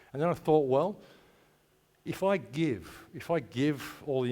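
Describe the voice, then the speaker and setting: With an Australian accent, a man speaks in a dark, mellow tone at a moderate pace with lively intonation. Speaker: conference speaker. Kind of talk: conference talk. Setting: stage with audience.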